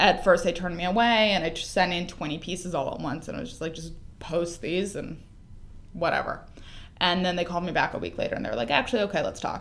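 Very fast, fairly low female voice with vocal fry, ordinary pitch variation and a Californian accent. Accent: Californian American. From Los Angeles. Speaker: entertainment editor. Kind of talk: casual chat.

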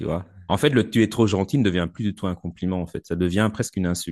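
A man talks at a very fast pace. His pitch is very deep and low. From Belgium. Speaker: military communications officer and life coach. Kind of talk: casual interview. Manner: halting, many repetitions and fillers.

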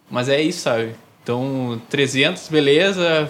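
A man with a southern Brazilian accent and lively intonation. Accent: gaúcho Brazilian Portuguese. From southern Brazil, Novo Hamburgo (Rio Grande do Sul). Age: 20s. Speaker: newsletter zine creator. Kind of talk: casual interview chat.

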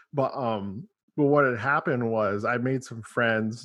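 Speaking with a normal speaking voice, a man holds a medium pitch and fairly even intonation. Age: 30s. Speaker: podcast host and band member. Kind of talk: casual interview chat. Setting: video call.

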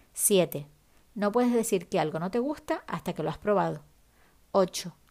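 In a very clean recording with a silent background, a woman with a medium pitch and a dark, mellow tone speaks at a moderate pace with lively intonation. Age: 40s. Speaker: podcast host and writer. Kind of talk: reading aloud a list; solo podcast monologue.

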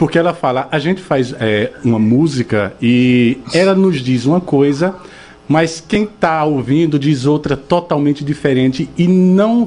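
This man talks at a fairly slow pace in a strong northeastern Brazilian accent, his fairly high voice lively in intonation and very even in loudness. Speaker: radio host. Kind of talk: radio interview. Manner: animated.

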